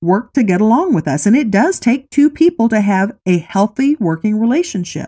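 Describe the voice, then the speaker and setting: A woman talks at a moderate pace with a medium pitch and very wide pitch swings. Her tone is dark, mellow and somewhat breathy, in a dry, close sound with no echo. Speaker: life coach and podcast host. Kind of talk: motivational talk.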